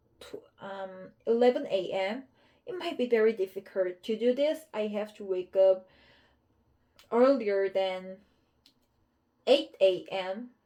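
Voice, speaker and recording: Speaking at a very slow pace with long, frequent pauses, a woman with a Korean accent has a dark, mellow tone, lively intonation and big swings in loudness. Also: fairly high pitch for a woman. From South Korea. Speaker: English learner. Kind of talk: casual chat. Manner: halting.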